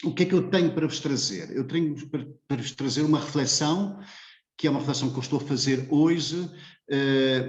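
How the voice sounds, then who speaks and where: A man's somewhat breathy voice, fairly high in pitch with ordinary pitch variation, carries an audible room echo. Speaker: philosophy professor. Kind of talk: lecture. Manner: hesitant, many filler sounds.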